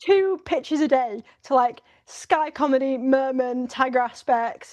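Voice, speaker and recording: The tone is animated, with ordinary pitch variation. The speaker has a northern English accent. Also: woman, high pitch for a woman. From northern England, Lincolnshire (Grimsby, Scunthorpe). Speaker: writer and producer. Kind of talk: podcast interview. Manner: fast, filler-heavy.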